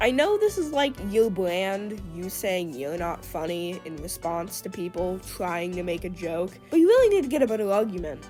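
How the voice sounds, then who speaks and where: Music plays in the background as a woman speaks at a medium pitch and a moderate pace. Her loudness swings widely. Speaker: YouTube commentator. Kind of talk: commentary video. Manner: casual talk to camera.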